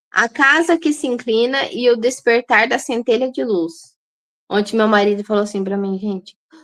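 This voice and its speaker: At a moderate pace, a woman with a fairly high pitch speaks with lively intonation in a dry, close sound with no echo. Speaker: holistic nutritionist. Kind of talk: online lecture. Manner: halting.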